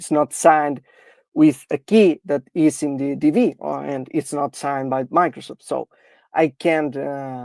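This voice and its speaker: Someone with a non-native accent speaks at a fairly slow pace in a very clean recording with a silent background. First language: not English. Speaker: security researcher. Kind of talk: technical demo. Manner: halting, many fillers.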